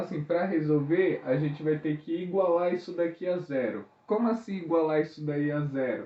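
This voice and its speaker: This man is soft-spoken, with a fairly high pitch. His pitch varies in an ordinary way. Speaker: school math teacher. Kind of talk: lesson video for students. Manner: casual.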